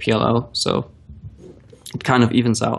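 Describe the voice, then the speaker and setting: Someone with a non-native accent speaks at a moderate pace. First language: not English. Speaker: professional poker player. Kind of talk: live-stream commentary and Q&A. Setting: live stream while playing online.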